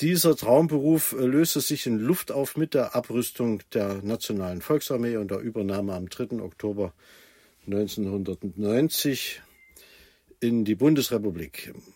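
This man talks very slowly, with a medium pitch and lively intonation. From Germany, Thuringia. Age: 60s. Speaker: traffic manager. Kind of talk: interview.

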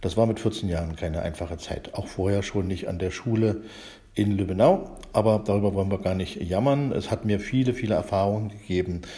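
Fairly low in pitch and somewhat breathy, a man's dark, mellow voice moves at a fairly quick pace with ordinary pitch variation. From eastern Germany, Spreewald (Brandenburg). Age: 50s. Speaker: library director, computer scientist. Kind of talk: casual chat. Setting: recorded separately via chat app. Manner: halting, many fillers.

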